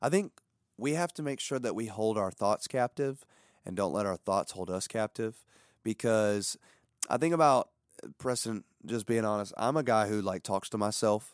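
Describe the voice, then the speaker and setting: Captured as a very clean recording with a silent background and a dry, close sound with no echo, a man talks in a normal speaking voice at a medium pitch and moderate pace with ordinary pitch variation. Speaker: pastor and podcast host. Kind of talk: casual chat.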